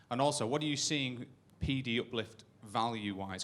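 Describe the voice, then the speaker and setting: A man with a northern English accent on a very clean recording with a silent background. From northern England. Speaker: audience member. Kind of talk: audience question. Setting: stage with audience.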